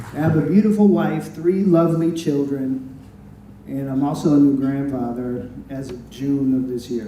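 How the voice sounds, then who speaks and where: A man's fairly high voice in an American accent, big swings in loudness, noticeable background noise. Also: ordinary pitch variation, moderate pace. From US Midwest, Madison, Wisconsin. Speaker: former student, insurance agent. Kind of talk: prepared event speech. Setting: luncheon event with audience.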